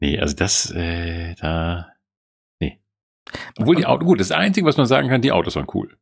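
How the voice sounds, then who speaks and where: With lively intonation and a very deep, low pitch, a man speaks at a moderate pace, leaving long, frequent pauses. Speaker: podcast co-host. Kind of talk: casual chat.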